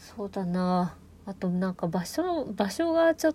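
At a medium pitch, a woman speaks at a fairly slow pace. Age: 20s. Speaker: podcaster. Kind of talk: casual solo talk. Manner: hesitant, many fillers.

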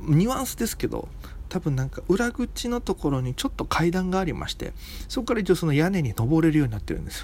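A man at a high pitch with very wide pitch swings and a very fast pace. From Okinawa, Japan. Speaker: comedian. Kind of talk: solo casual monologue.

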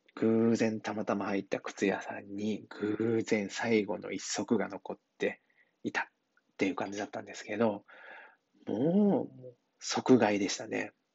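In a normal speaking voice, a man talks at a fairly slow pace with fairly low pitch, fairly even intonation and big swings in loudness. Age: 40s. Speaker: hairdresser. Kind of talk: casual monologue. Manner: relaxed, filler-heavy.

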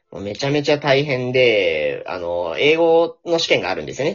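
At a moderate pace, a man talks with hardly any pauses. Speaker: company employee heading to business school. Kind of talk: casual interview.

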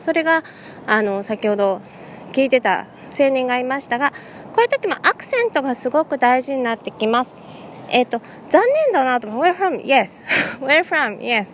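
A woman speaks at a moderate pace with a high pitch and lively intonation. Noticeable background noise runs underneath. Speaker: English conversation teacher. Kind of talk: casual solo talk. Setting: outdoors walking in a city.

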